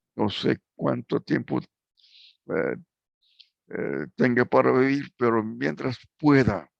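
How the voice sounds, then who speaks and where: A man speaks at a very slow pace with long, frequent pauses. The sound is dry and close, with no echo. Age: 80s+. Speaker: preacher. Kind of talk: sermon closing and appeal. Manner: halting, many fillers.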